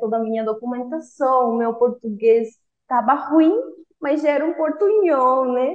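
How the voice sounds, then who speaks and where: A high-pitched woman's voice with a Spanish accent and ordinary pitch variation. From Cuba. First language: Spanish (speaking Portuguese). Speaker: former language student, engineer. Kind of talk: interview testimony. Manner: halting, with self-corrections.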